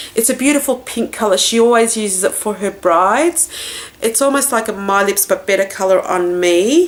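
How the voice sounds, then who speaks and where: A woman with an Australian accent talks at a moderate pace in a fairly high pitch with lively intonation, over noticeable background noise. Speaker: beauty vlogger. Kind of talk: product haul review. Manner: casual, chatty.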